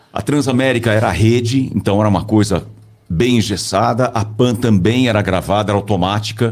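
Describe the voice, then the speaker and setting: A man speaks fairly quickly in a fairly low voice, his intonation fairly even. Noticeable background noise runs underneath. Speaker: voice-over announcer and communication coach. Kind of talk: casual interview chat. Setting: studio.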